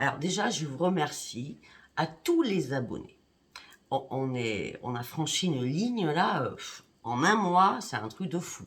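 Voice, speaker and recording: Very slowly, a woman talks in a very deep, low pitch that swings very widely. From Paris, France. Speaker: psychic YouTuber. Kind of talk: direct-to-camera monologue. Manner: indignant.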